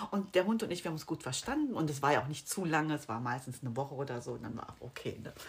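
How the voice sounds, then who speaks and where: Amid noticeable background noise, a woman with a very deep, low pitch talks very fast with lively intonation and hardly any pauses. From Rhineland, Germany (Bonn). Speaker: real estate sales consultant. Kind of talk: casual interview. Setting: in person with host.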